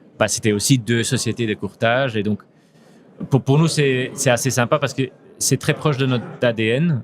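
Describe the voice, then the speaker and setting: With long, frequent pauses, a man talks at a moderate pace and medium pitch, using ordinary pitch variation. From Belgium (Flanders, Antwerp). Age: 40s. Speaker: insurance company CEO. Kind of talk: podcast interview. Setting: at a trade congress. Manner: hesitant, many fillers and repetitions.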